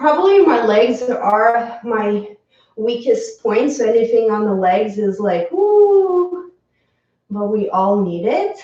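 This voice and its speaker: With audible room echo, a woman with a fairly high voice speaks very slowly, her pitch swinging very widely. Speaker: yoga teacher. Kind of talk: guided yoga class. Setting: home live stream.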